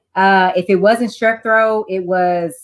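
With an American accent, a woman at medium pitch speaks at a fairly slow pace in a plain, everyday voice. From Texas, Houston. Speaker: life and wellness coach. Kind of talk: interview.

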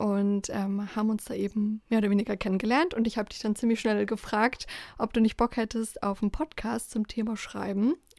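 Here a woman has an unremarkable speaking voice with a fairly high pitch. She talks at a moderate pace. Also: fairly even intonation, dry, close sound with no echo. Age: 20s. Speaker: podcast co-host, student. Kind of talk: casual chat.

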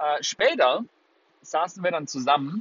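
Fairly high in pitch, a man speaks in an animated tone. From Germany, Würzburg (Lower Franconia). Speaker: podcast host and life coach. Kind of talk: motivational monologue. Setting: in a car.

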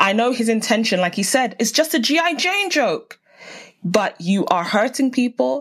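A woman with a South London accent talks at a fairly quick pace in an animated tone over noticeable background noise. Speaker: podcast host and TV researcher. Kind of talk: casual interview.

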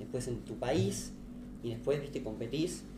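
A man's medium-pitched voice in a Rioplatense accent, fairly quick, with audible room echo. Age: 20s. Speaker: crypto startup founder. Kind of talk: podcast interview. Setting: live stream.

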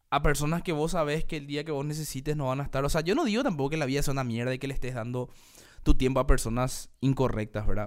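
A man at a very fast pace with ordinary pitch variation, in a very clean recording with a silent background. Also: fairly high pitch for a man. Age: 30s. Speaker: podcast host. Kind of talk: solo monologue podcast. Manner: casual, halting with fillers.

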